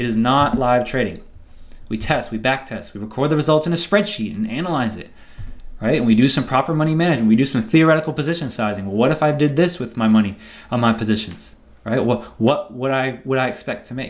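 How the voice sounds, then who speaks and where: Amid audible room echo, a man talks at a very fast pace with a medium pitch and ordinary pitch variation. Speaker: trading educator. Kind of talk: seminar lecture.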